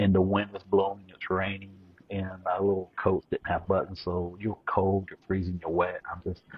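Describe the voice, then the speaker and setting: A man with a Southern accent speaks at a moderate pace and a very deep, low pitch. His intonation is monotone and flat, yet his loudness swings widely. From eastern Kentucky. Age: 40s. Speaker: Navy veteran. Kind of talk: casual chat.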